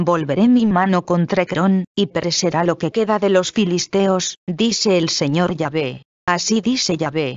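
A woman with a normal speaking voice and a fairly low pitch talks with hardly any pauses, very even loudness and ordinary pitch variation. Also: fairly slow pace. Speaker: scripture reader. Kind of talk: scripture reading aloud. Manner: formal, solemn, measured; steady, even-paced.

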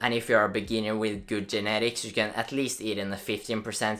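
Speaking at a fairly quick pace, a man with a Norwegian accent has a bright, sharp tone and a fairly low pitch. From Norway. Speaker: fitness youtuber. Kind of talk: casual explainer video. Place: home room.

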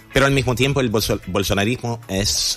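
Faint music plays in the background as a man speaks at a fairly slow pace with ordinary pitch variation. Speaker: radio guest. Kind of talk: interview answer. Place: studio. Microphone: studio mic.

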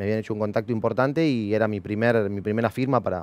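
A man with a Rioplatense accent and a fairly low voice, at a fairly quick pace with ordinary pitch variation, in a dry sound with no echo. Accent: Argentine Spanish (rioplatense). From Argentina, Bahía Blanca; Argentina. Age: 30s. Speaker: former racing driver and driver coach; driver coach. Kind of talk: interview. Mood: calm, reflective. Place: studio. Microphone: headset.

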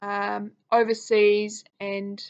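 A woman's medium-pitched voice with a New Zealand accent. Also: quiet background. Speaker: college alum. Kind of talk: testimonial talk to camera. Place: home room. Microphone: webcam.

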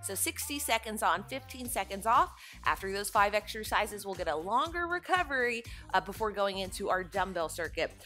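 Faint background music behind a woman speaking at a moderate pace. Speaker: fitness instructor. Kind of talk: workout instruction. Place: empty room.

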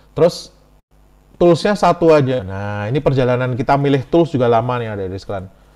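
Over a quiet background, a man with a medium pitch and a dark, mellow tone speaks at a fairly quick pace, with big swings in loudness. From Central Java, Semarang; Central Java, Indonesia. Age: 40s. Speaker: IT lecturer and enterprise architecture expert; webinar presenter. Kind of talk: webinar lecture. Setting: video call. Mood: relaxed, conversational. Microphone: video call.

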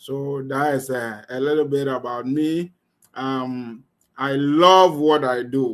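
Against a quiet background, a man of medium pitch speaks at a very slow pace with fairly even intonation. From Ghana. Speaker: online business coach. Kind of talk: live online class. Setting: video call. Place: home room. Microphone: webcam.

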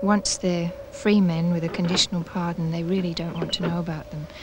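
A woman speaks at a fairly quick pace, her dry, echo-free voice set against noticeable background noise. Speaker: historian, interviewee; interviewee. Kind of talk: interview, explanatory. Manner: thoughtful, hesitant, repeats words. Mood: calm, thoughtful.

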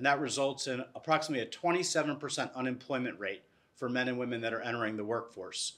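A man at a fairly quick pace with ordinary pitch variation. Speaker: nonprofit CEO and panel moderator. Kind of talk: panel discussion. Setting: stage with audience. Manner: enthusiastic. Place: hall. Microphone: lapel.

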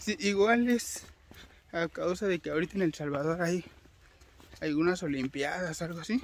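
A man speaks with long, frequent pauses. The sound is dry, with no echo. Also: moderate pace. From Mexico, Mexico City area; Mexico. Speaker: travel vlogger. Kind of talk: casual vlog narration. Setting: outdoors. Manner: animated. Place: forest. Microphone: phone near.

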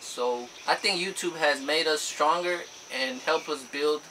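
Noticeable background noise runs under the recording. A man speaks over it at a fairly slow pace. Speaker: couple vlogger. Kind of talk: casual vlog chat. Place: home room. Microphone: camera far.

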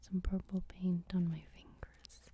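A soft-spoken voice whispers with a dry sound and no echo. Light background noise can be heard. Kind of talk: tutorial. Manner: soft whispered ASMR narration. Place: home room. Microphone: camera far.

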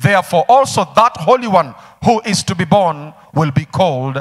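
The voice belongs to a man. Little else is heard, as the background stays quiet. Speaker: pastor. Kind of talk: sermon. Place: church. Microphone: handheld.

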